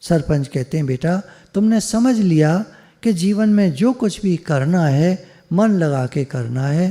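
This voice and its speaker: A man's high-pitched voice has a dark, mellow tone and lively intonation. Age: 70s. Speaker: spiritual teacher. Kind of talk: storytelling talk. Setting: video call.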